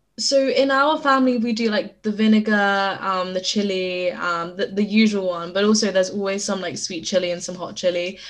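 With a British accent, a woman talks at a moderate pace in a medium pitch with ordinary pitch variation. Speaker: podcast guest. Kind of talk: casual chat. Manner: hesitant, many fillers.

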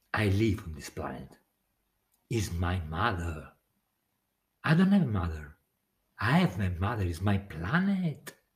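Somewhat breathy and very deep in pitch, a man speaks with lively intonation at a fairly slow pace, leaving long, frequent pauses. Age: 40s. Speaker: podcaster. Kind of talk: late-night solo monologue. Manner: halting; laughing often.

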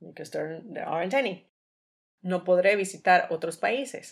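A woman's medium-pitched, a normal speaking voice. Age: 30s. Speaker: language teacher podcaster. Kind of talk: bilingual language-learning monologue.

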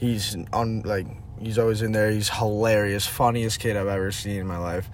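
A man with a New England accent at a moderate pace, medium pitch and fairly even intonation, with audible room echo. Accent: American (New England). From Connecticut, US. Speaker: hockey player. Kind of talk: casual chat.

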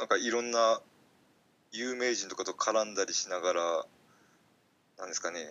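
Long, frequent pauses interrupt the speech. Between them it runs at a moderate pace with ordinary pitch variation. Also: man, medium pitch for a man. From Fukuoka, Japan. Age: 30s. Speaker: podcaster and part-time farmer. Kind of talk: casual interview chat. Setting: remote call recording. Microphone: Skype call audio, less clear than usual.

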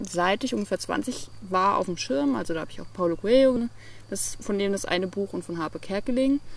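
A woman with a plain, everyday voice speaks at a moderate pace and medium pitch with ordinary pitch variation. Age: 20s. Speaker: entrepreneur and digital nomad. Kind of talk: interview.

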